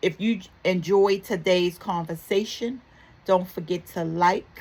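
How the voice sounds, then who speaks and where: At a fairly slow pace, a woman speaks at a medium pitch with a slight Baltimore accent. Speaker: talk show host. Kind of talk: motivational talk show segment. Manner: warm, upbeat.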